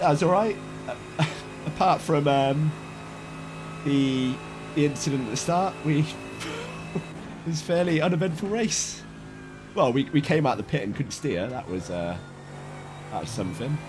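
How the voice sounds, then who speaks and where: A man's voice with very wide pitch swings and long, frequent pauses, music playing behind. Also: fairly high pitch for a man, moderate pace. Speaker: sim racing streamer. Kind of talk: live gameplay commentary. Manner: casual, chatty.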